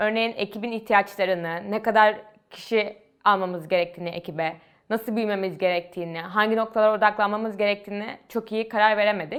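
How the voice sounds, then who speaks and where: A woman talks at a fairly quick pace with a medium pitch and fairly even intonation. She has a plain, everyday voice. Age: 20s. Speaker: university student and startup founder. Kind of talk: interview monologue.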